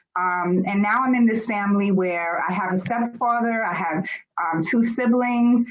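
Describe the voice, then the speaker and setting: Somewhat breathy, the woman's voice sits at a medium pitch. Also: ordinary pitch variation, moderate pace. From Germany, then US from age six. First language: German. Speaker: author and personal development speaker. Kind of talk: interview.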